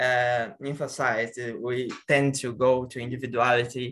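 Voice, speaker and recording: A man with a Portuguese accent, a bright, sharp tone and a fairly slow pace. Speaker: interpreter. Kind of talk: question and interpreting.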